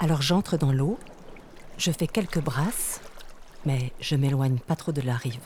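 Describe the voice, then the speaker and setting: A calm, dark, mellow, somewhat breathy voice at a fairly slow pace, with ordinary pitch variation, very even loudness and long, frequent pauses. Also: woman, very deep, low pitch for a woman. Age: 40s. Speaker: lawyer and author telling her near-death experience. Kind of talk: literary first-person narration of her near-death experience, with a testimony tone. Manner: slow, calm, dreamy, sensory, hushed storytelling.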